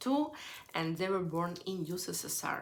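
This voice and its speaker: With audible room echo around her, a woman speaks in a Ukrainian accent at a fairly slow pace. Her medium-pitched voice has a bright, sharp tone. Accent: Ukrainian Russian-speaker accent in English. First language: Russian. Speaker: youtuber. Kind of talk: live stream lecture. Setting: live stream.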